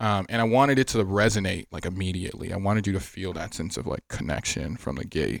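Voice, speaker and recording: Over a silent background in a very clean recording, a man with an American accent and a fairly low pitch talks at a very fast pace with vocal fry and ordinary pitch variation. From Miami, Florida, Haitian family. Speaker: fashion brand founder and designer. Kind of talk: casual interview chat.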